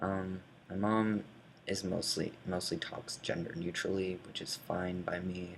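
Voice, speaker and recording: Over noticeable background noise, a man with a very deep, low pitch speaks fairly slowly in a monotone, flat intonation. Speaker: vlogger. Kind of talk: casual chat. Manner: hesitant, many fillers.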